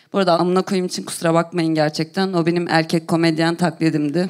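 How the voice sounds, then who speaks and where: The recording is very clean, with a silent background. In it, a woman speaks at a fairly quick pace. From Turkey, Konya. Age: 30s. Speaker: comedian. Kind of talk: stand-up. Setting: stage with audience.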